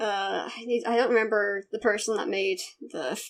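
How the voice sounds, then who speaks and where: Speaking in a British accent at a moderate pace, a woman with a medium pitch is heard in a very clean recording with a silent background. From Britain. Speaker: YouTube interviewer. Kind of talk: casual interview chat.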